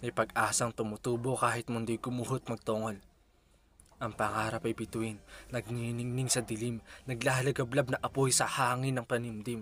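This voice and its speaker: At a moderate pace, a man speaks in a flat monotone at a medium pitch. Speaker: spoken word poet. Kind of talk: spoken word poetry.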